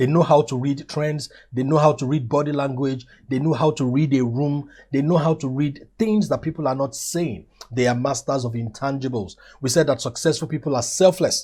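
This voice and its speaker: A man speaks in a fairly high pitch with a dark, mellow tone, somewhat breathy, and ordinary pitch variation. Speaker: motivational teacher. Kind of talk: motivational lecture. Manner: fast.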